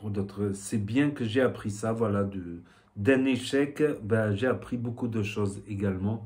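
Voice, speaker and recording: A man with a southwestern French accent, fairly low in pitch with ordinary pitch variation, at a very slow pace. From southwestern France. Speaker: vape youtuber. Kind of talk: casual vlog talk. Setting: home shop with shelves. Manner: hesitant, many fillers.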